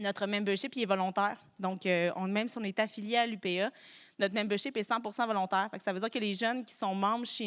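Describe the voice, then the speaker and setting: A woman at a medium pitch and a very fast pace. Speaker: farm organization director. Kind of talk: conference talk. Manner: hesitant, many fillers.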